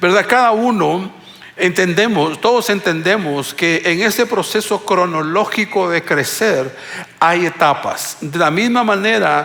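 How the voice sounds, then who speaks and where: A man speaks very slowly with lively intonation. Audible room echo and noticeable background noise fill the recording. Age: 60s. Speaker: pastor. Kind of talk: sermon. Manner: halting.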